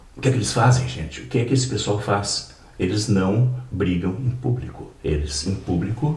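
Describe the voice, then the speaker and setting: Audible room echo surrounds a man whose pitch swings very widely as he talks at a moderate pace. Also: fairly low pitch for a man. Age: 70s. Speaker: political party member, podcast guest. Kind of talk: casual political interview. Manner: animated.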